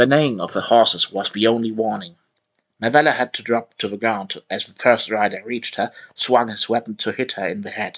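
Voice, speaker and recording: A man speaks at a medium pitch with fairly even intonation and big swings in loudness. The sound is dry and close, with no echo. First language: not English. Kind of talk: reading aloud. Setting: live online voice session. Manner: halting, self-correcting.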